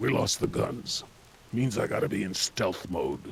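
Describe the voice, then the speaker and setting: A man puts on a raspy, menacing character voice at a medium pitch. He speaks at a moderate pace over clear background noise. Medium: video game. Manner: terse, dry, menacing.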